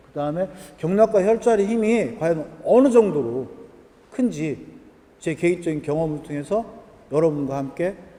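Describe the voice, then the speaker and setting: A man with a high-pitched voice and lively intonation is heard over noticeable background noise. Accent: Chungcheong. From Korea, Jochiwon (Chungcheong region). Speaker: lecturer on acupressure points. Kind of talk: lecture. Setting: event hall with live audience. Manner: conversational, asks audience questions.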